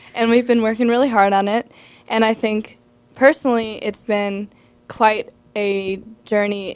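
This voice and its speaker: In an American accent, a woman uses an ordinary speaking voice at a medium pitch and a moderate pace. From Champaign-Urbana, Illinois. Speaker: rock singer and guitarist. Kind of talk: radio interview. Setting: radio studio.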